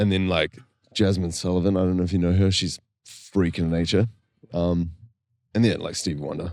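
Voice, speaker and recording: Despite long, frequent pauses, a man with a New Zealand accent and a very deep, low pitch talks at a fairly quick pace on a very clean recording with a silent background. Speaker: singer-songwriter, worship band co-founder. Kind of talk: casual interview chat. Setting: podcast recorded at a festival. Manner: animated.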